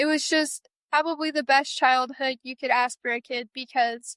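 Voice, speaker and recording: A woman with an American accent speaks fairly slowly in a raised, projected, high-pitched voice. Her tone is bright and sharp, and the sound is dry and close with no echo. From Cheyenne reservation area, US West. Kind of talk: interview.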